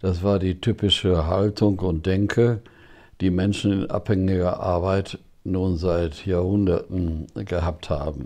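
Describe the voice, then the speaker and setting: A man speaks at a very slow pace in a very deep, low pitch. His tone is dark and mellow, with fairly even intonation. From Germany, Ruhr area (Bochum). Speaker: retired theology professor. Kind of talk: interview. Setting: at his home.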